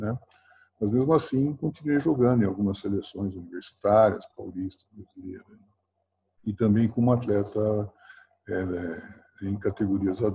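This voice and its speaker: A man with a fairly low pitch talks at a moderate pace with ordinary pitch variation. His loudness swings widely, and he leaves long, frequent pauses. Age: 60s. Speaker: university professor and former basketball player and coach. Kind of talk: interview. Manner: halting, many fillers.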